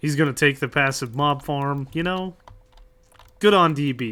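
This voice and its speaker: Fairly high in pitch, a man talks at a moderate pace in a bright, sharp tone with fairly even intonation. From United States. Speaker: streamer. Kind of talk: casual chat. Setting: livestream.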